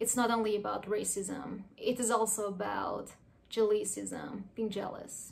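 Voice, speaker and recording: Amid audible room echo, a woman with an Iranian accent speaks at a fairly slow pace and a fairly high pitch, with fairly even intonation. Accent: Iranian (Persian) accent in English. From Iran, Tehran. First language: Persian. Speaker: artist. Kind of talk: personal narration.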